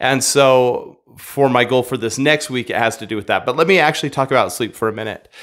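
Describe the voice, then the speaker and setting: A man is talking at a medium pace. Little can be heard behind him. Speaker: vlogger. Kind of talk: casual vlog chat. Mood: relaxed, reflective. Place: home room. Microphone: studio mic.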